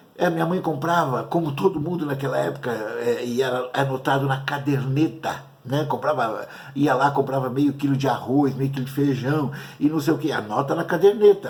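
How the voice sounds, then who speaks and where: There's audible room echo as a man speaks at a moderate pace. His pitch is fairly high, with ordinary pitch variation. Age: 60s. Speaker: pastor. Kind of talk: sermon. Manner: halting.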